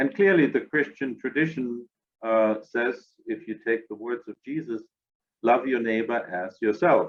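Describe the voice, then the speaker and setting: This man speaks at a medium pitch with a German accent. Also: ordinary pitch variation, moderate pace. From Germany. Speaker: interfaith organization director. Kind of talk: podcast interview.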